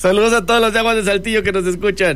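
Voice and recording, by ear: Fairly quick and fairly even in intonation, a man speaks. His voice is high-pitched with a fairly bright tone.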